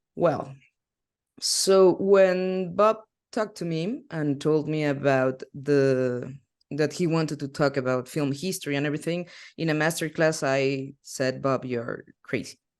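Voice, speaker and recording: A fairly slow pace in a Spanish accent, over a quiet background. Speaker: film history teacher. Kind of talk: online masterclass lecture. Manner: halting.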